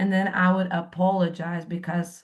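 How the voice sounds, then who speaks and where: A woman talks at a fairly slow pace. Her voice sits at medium pitch and sounds somewhat breathy. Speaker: workshop participant. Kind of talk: group coaching session sharing.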